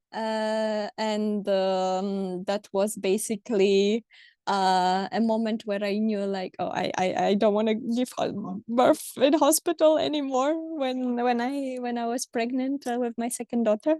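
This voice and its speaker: At a fairly high pitch with a dark, mellow tone, a woman with a Polish accent speaks fairly slowly, with ordinary pitch variation and hardly any pauses. The sound is dry and close with no echo, against a quiet background. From Poland. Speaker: mother sharing birth stories. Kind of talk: interview conversation. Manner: hesitant, many fillers.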